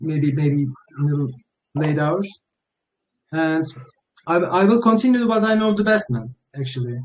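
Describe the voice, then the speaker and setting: Long, frequent pauses break up a man's moderate-paced speech, his fairly high pitch swinging very widely. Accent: non-native. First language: not English. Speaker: crypto project founder. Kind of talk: AMA interview. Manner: halting.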